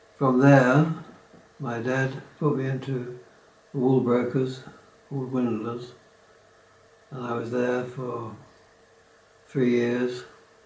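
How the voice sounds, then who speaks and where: The speech comes at a very slow pace with long, frequent pauses and monotone, flat intonation. Noticeable background noise and audible room echo are present. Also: man, medium pitch for a man. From southeast England (Kent, Bromley). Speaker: retiree recounting life story. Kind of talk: oral history reminiscence. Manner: hesitant, with fillers and restarts.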